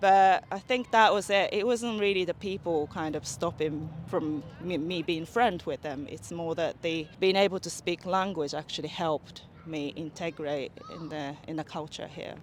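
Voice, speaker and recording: This woman talks at a moderate pace with a fairly low pitch and ordinary pitch variation. Her loudness swings widely. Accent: Japanese. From Okinawa, Japan. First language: Japanese. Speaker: interviewee, Japanese expat. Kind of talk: street interview.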